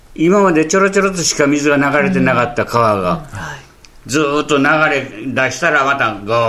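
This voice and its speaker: Speaking with a Tokushima accent, a man uses a fairly high pitch and lively intonation at a moderate pace, with audible room echo and noticeable background noise. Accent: Awa (Tokushima) dialect. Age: 80s+. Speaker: earthquake survivor. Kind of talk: testimony. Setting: interview at guest's town.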